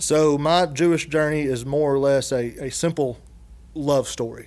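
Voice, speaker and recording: On a very clean recording with a silent background, a man speaks with a strong Southern US accent and fairly even intonation. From Dallas, Georgia, US South. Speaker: guest, construction industry worker. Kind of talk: casual interview conversation.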